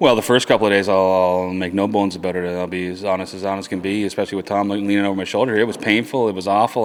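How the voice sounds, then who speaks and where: A man's fairly low voice, very fast, with fairly even intonation over noticeable background noise. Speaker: fitness challenge participant. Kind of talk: casual chat. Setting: fitness gym. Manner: halting, stuttering.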